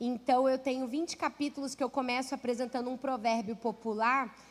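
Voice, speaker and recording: A woman speaks in a Rio de Janeiro accent with a high pitch. Her tone is warm and her pace moderate. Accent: carioca. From Rio de Janeiro, Brazil. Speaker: pastor and author. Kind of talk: sermon. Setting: church. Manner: warm, conversational.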